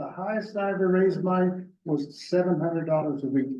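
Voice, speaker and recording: A man's high-pitched voice with an American accent, ordinary pitch variation and audible room echo. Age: 80s+. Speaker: guest ranch owner. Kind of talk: public meeting presentation. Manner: folksy, conversational.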